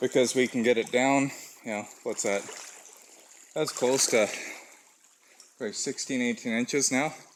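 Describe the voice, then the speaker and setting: There is noticeable background noise as a man talks at a moderate pace. He leaves long, frequent pauses, and his intonation stays fairly even. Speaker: trapper. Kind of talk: outdoor vlog walkthrough. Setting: outdoors. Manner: slurred speech.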